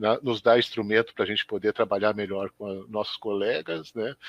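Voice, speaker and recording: A man with an unremarkable speaking voice, fairly low in pitch, at a moderate pace, with a dry, close sound with no echo over a quiet background. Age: 60s. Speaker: schoolteacher. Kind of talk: live web interview. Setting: live web broadcast.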